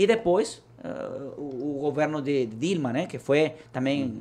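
Lively in intonation, a man speaks with a fairly high pitch. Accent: Spanish. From Venezuela. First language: Spanish (speaking Portuguese). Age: 30s. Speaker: political party leader. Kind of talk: interview. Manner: halting.

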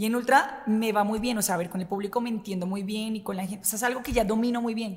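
A woman speaks at a fairly quick pace with a medium pitch. Her intonation is fairly even. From Colombia, Bogotá. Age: 20s. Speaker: radio host. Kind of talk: casual chat.

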